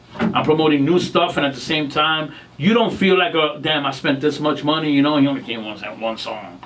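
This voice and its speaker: With audible room echo and noticeable background noise, a man talks at a fairly quick pace in a fairly high pitch with ordinary pitch variation. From New York City. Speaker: singer. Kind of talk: interview. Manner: animated.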